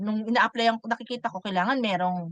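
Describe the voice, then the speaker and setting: The sound is dry and close with no echo as a woman speaks at a fairly quick pace. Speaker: online bookkeeping course team leader. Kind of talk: online class lecture.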